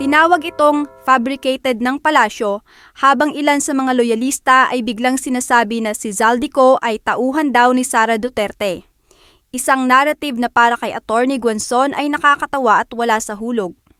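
A woman talks at a moderate pace in a high pitch, her tone bright and sharp with ordinary pitch variation. The recording is very clean, with a silent background and a dry, close sound free of echo. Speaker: YouTube news commentator. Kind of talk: news commentary.

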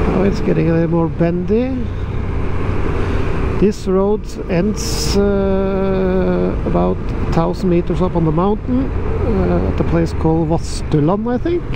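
Noticeable background noise sits behind a fairly slow voice with a dry sound and no echo. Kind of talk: casual motovlog commentary. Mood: relaxed, slightly glum about weather. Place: motorbike. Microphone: helmet.

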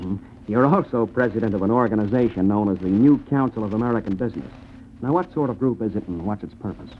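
Over light background noise, a man talks at a very fast pace in a fairly low voice. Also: ordinary pitch variation. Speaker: radio host. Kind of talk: radio interview questions. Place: studio. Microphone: old recording.

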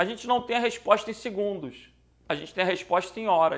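A man at a moderate pace, animated in tone and lively in intonation, in a very clean recording with a silent background. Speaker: exam prep teacher. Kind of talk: lecture.

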